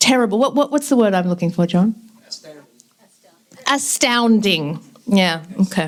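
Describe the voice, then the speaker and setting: Speaking in an Australian accent at a medium pitch, a woman uses lively intonation and long, frequent pauses. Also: moderate pace. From Western Sydney, Australia (Lebanese migrant family). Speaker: event host. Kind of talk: public speech. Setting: event with live audience. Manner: casual, with many fillers.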